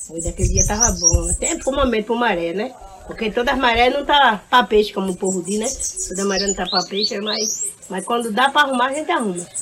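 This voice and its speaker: Over noticeable background noise, a woman rushes along at a very fast pace with lively intonation and a fairly high pitch. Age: 70s. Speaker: retired fisherwoman. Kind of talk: casual interview.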